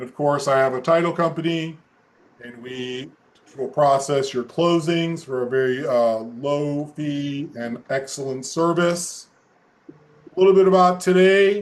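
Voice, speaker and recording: Using a plain, everyday voice, a man with a fairly high pitch speaks at a fairly slow pace, with ordinary pitch variation and big swings in loudness. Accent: American. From US Midwest, Omaha. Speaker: real estate attorney. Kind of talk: webinar presentation. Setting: video call.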